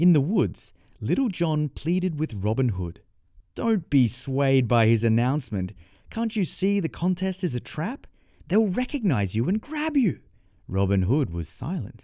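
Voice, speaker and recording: Very clean and silent in the background, this recording has a man with an Australian accent speaking fairly slowly. His fairly high voice has a dark, mellow tone and very wide pitch swings. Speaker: storyteller. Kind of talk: children's bedtime story reading. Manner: clear, measured pace for learners.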